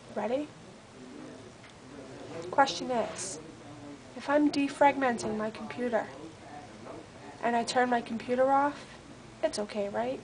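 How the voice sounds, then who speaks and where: A quiet woman with a high pitch speaks at a fairly slow pace, with ordinary pitch variation, long, frequent pauses and noticeable background noise. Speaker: office worker. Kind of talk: casual rant to camera. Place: office. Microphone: webcam.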